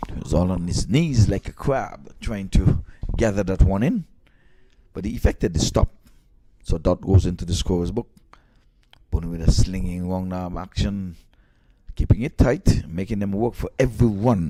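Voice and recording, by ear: With a dark, mellow tone, a man speaks at a moderate pace in a low pitch with ordinary pitch variation.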